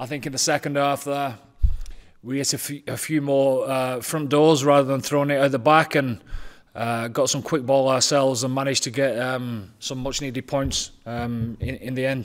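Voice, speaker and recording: A man talks in a monotone, flat delivery against a quiet background. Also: moderate pace. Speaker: team coach. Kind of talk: press conference answer. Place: hall. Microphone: podium.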